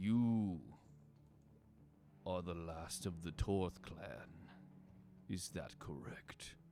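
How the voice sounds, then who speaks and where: A man in a put-on character voice booms at a very slow pace, his pitch very deep and low, with long, frequent pauses. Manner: commanding.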